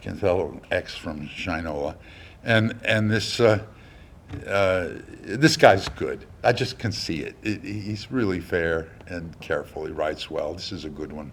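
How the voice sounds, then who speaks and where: Audible room echo surrounds a man with a fairly low pitch who speaks at a fairly slow pace. His intonation is lively, and his loudness swings widely. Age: 70s. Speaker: lecturer. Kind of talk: lecture. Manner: halting, many fillers; animated.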